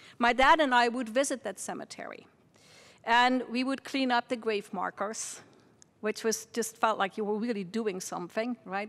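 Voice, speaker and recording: A woman with a Dutch accent talks at a moderate pace. Her fairly high pitch shows ordinary variation. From Netherlands, near Margraten (Limburg). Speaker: university president. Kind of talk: welcome speech.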